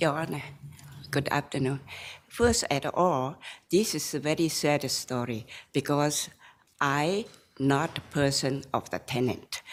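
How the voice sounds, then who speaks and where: The speaker has a non-native accent and talks at a fairly slow pace with long, frequent pauses. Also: woman, very deep, low pitch for a woman, ordinary pitch variation. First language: Chinese. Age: 70s. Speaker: appellant in a court case. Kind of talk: court testimony. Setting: courtroom. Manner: halting.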